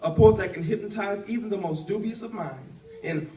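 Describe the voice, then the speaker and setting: A man talks at a fairly quick pace with high pitch and lively intonation. Noticeable background noise and audible room echo come through. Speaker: spoken word poet. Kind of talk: spoken word performance; casual stage talk. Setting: stage with audience. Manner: fast; rhythmic.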